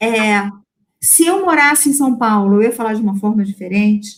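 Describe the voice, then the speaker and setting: In a strong Rio de Janeiro accent, a woman speaks at a moderate pace and a fairly high pitch, somewhat breathy, with lively intonation. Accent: strong carioca (Rio de Janeiro). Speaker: lecturer on AI in English teaching. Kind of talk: online lecture Q&A.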